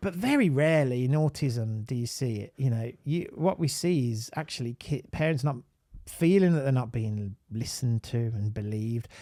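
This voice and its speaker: This speaker has a Birmingham accent. The pace is moderate. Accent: Birmingham (Brummie). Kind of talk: live online talk. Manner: animated.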